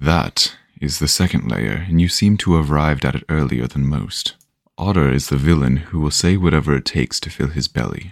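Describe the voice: This man puts on a character voice, pitched extremely low with vocal fry. His intonation is lively and his pace moderate.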